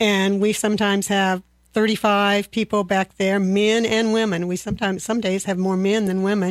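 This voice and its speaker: At a moderate pace, a woman with medium pitch keeps a monotone, flat intonation and very even loudness. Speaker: senior center staff. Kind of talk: radio interview. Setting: studio.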